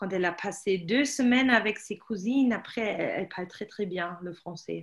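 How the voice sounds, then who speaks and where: A woman speaks with a German accent. Her intonation is lively. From Germany. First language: German (speaking French). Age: 30s. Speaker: language teacher. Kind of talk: casual chat.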